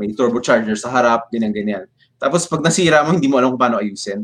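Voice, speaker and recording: The speaker is a man at medium pitch. He talks at a very fast pace. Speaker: FPV drone pilot and builder. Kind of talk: casual interview. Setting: live stream.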